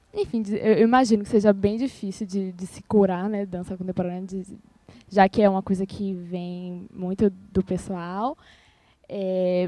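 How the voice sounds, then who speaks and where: A woman speaks at a fairly slow pace and medium pitch. Her tone is dark and mellow, with fairly even intonation. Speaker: student and ballet dancer. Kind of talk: roundtable introduction. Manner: halting.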